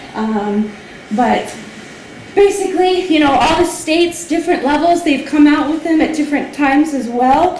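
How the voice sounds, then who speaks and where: Her intonation is lively as the woman speaks. Noticeable background noise and audible room echo surround her. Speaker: language testing company representative. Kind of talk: informational lecture. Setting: hall with audience. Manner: fast.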